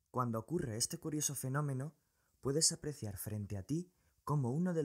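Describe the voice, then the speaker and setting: A man at a fairly quick pace with lively intonation, dry and close with no echo, in a very clean recording against a silent background. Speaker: science video creator. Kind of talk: scripted narration.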